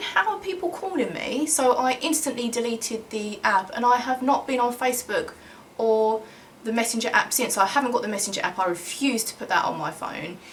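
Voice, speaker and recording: A woman with a high pitch speaks at a moderate pace in an animated tone. Her pitch swings very widely over noticeable background noise. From Kent and southeast London, England. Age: 30s. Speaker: YouTuber and singer. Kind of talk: casual Q&A vlog.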